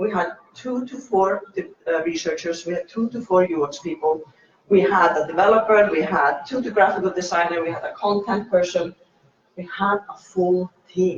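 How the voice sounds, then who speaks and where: A man with a non-native accent speaks in a high pitch. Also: ordinary pitch variation, moderate pace, big swings in loudness. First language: not English. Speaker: meetup speaker, UX designer. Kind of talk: talk at meetup. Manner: halting.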